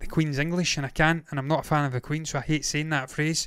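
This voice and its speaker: The delivery comes at a fairly quick pace. It is a normal speaking voice. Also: man. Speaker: TV review host. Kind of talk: casual review chat. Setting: online show, late evening.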